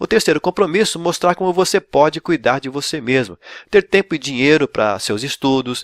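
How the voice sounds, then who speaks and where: A man speaks in a normal speaking voice at a moderate pace, with lively intonation. The sound is dry and close, with no echo. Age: 60s. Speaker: pastor and ministry coach. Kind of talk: online lecture. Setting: recorded video.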